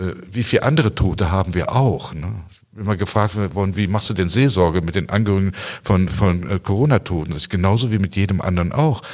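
A man at a very fast pace, ordinary pitch variation, on a very clean recording with a silent background. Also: fairly low pitch for a man. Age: 60s. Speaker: pastor. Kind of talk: interview. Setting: church. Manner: halting, repeats words.

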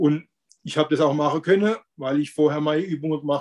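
Delivery comes at a very fast clip. The pitch line remains fairly even. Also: man. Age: 50s. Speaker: weight-loss coaching client. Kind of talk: interview testimony. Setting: video call. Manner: halting.

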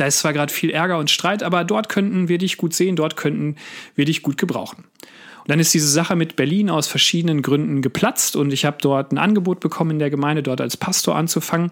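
This man speaks very fast. His pitch is fairly high. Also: ordinary pitch variation, very even loudness. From Westphalia, Sauerland. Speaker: pastor. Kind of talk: devotional podcast talk.

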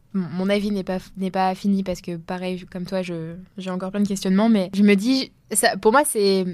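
A plain, everyday voice moves at a moderate pace with fairly even intonation on a very clean recording with a silent background. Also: woman. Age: 20s. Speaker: podcast co-host. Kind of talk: casual discussion.

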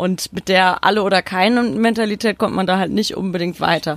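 At a fairly quick pace, a woman with an unremarkable speaking voice talks at a medium pitch that varies in an ordinary way. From Odenwald, southern Hesse. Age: 20s. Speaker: football podcast co-host and journalist. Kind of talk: casual chat.

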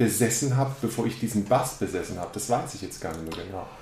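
A somewhat breathy man speaks at medium pitch, with audible room echo around him. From Baden, near Karlsruhe, Germany. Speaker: drummer. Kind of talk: casual interview chat.

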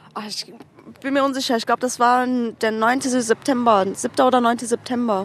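Over noticeable background noise, a woman speaks at a moderate pace. Her high-pitched voice stays monotone and flat. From Cologne, Germany. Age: 20s. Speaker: alternative model. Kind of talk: casual interview chat. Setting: outdoors on a curb, with beer.

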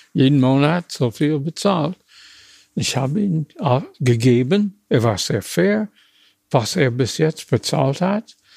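Very slowly and with long, frequent pauses, a man with a fairly high pitch speaks somewhat breathily and with lively intonation, in a dry, close sound with no echo. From USA, small town. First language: English (speaking German). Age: 80s+. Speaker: retired car designer. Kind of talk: interview. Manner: halting, with many hesitations.

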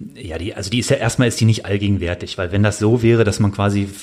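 Noticeable background noise under speech with fairly even intonation. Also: man. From Bonn, Rhineland, western Germany. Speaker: army officer, paratrooper, Afghanistan veteran. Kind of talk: interview, personal testimony. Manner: halting, many fillers and repeated words.

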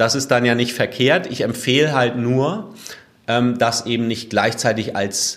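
A man talks at a fairly slow pace, with ordinary pitch variation. He has an ordinary speaking voice. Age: 30s. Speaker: fitness blogger and podcaster. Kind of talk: interview.

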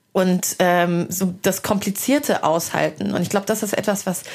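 A woman's voice at a medium pitch. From Hesse, Germany. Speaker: podcast host and culture journalist. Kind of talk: casual interview over a meal. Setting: at a dining table, eating.

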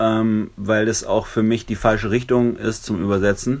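A man speaking at a fairly slow pace with monotone, flat intonation. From southern Germany (Lörrach, Baden). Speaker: musician. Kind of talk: interview. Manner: hesitant, many filler sounds.

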